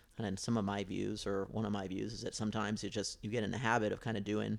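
The recording is very clean, with a silent background. A man with a Midwestern American accent talks at a fairly quick pace in a fairly low pitch. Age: 30s. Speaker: soccer podcast co-host. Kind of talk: casual chat.

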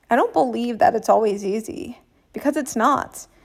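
The pitch sits fairly high for a woman. She talks at a moderate pace. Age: 30s. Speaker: podcast host and business coach. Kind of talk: solo podcast monologue. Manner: animated.

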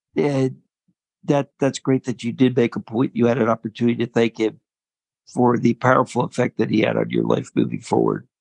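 A man talks at a fairly quick pace, and the sound is dry and close with no echo. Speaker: podcast co-host, person living with ALS. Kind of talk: casual interview chat.

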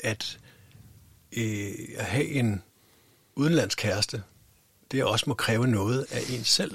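Speaking at a very slow pace with long, frequent pauses, a man keeps a medium pitch and ordinary pitch variation. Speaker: podcast host. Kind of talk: casual interview. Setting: studio. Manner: halting.

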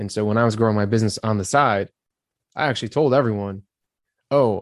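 A man with a plain, everyday voice and medium pitch speaks at a fairly quick pace. His pitch variation is ordinary, and the background is quiet. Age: 30s. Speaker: leadership and career coach. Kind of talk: podcast interview.

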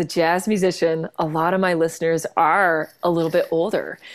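With a Canadian accent and an ordinary speaking voice, a woman talks at a fairly slow pace and fairly low pitch on a very clean recording with a silent background. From Canada. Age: 40s. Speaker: jazz singer-songwriter and pianist. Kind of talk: casual interview chat.

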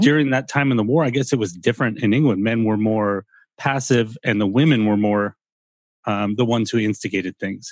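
Very fast speech from a man with an American accent. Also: medium pitch for a man, ordinary pitch variation. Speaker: podcast host. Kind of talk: casual chat.

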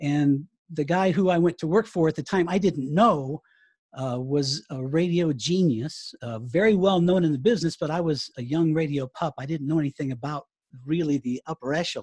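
An American accent at a moderate pace over a quiet background. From US South. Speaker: writer and former radio broadcaster. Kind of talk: casual interview chat.

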